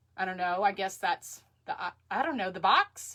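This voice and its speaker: A woman's bright, sharp tone in a Texan accent. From Texas. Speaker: crafter. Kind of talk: live craft tutorial. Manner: chatty, halting with fillers.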